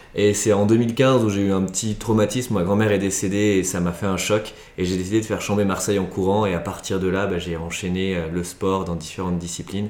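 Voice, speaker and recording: With audible room echo, a man speaks at a fairly low pitch and fairly quick pace, with fairly even intonation and hardly any pauses. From France, Chambéry (Savoie). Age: 20s. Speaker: sports adventure agency founder. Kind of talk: interview. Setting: recorded at a guest's home. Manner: halting, many repetitions and fillers.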